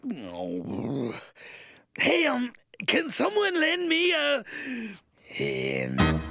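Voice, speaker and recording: A cartoonish character voice delivered in a theatrical tone over background music. The pace is very slow, with long, frequent pauses. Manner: wisecracking, theatrical.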